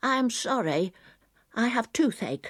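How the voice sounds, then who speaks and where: Putting on a character voice, a woman speaks at a fairly high pitch and a moderate pace on a very clean recording with a silent background. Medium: read story. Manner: shy, hesitant.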